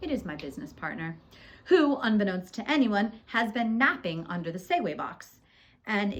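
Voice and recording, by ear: The voice reads aloud naturally, its intonation lively throughout.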